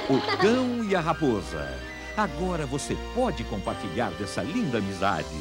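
Speech moves at a moderate pace with music in the background. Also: man. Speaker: voice-over announcer. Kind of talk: movie trailer.

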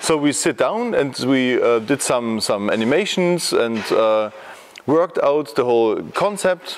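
Light background noise sits under a man talking at a moderate speed. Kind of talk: interview answer. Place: workshop.

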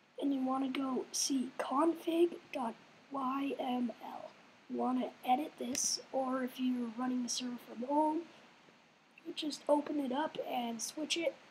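A woman's high voice at a fairly slow pace, with noticeable background noise. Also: fairly even intonation. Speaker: game server tutorial maker. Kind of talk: casual screen-recorded tutorial. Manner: hesitant, apologetic.

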